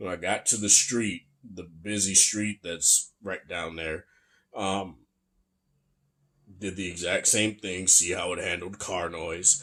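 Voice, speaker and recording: In a very clean recording with a silent background, a man with a very deep, low pitch and a bright, sharp tone speaks very slowly, with fairly even intonation and long, frequent pauses. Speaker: tech reviewer. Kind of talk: product review. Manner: casual.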